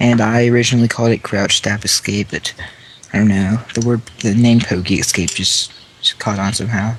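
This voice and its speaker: With an American accent, a man at medium pitch speaks fairly quickly in a monotone, flat intonation, with noticeable background noise. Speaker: speedrunner commenting on own run. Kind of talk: casual commentary over own gameplay.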